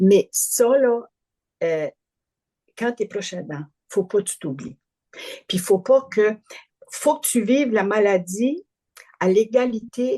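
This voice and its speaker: Recorded dry and close with no echo, a woman with a fairly high pitch and a dark, mellow tone uses lively intonation and big swings in loudness at a very slow pace, with long, frequent pauses. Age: 70s. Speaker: family caregiver. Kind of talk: interview testimony. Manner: halting, repeats words.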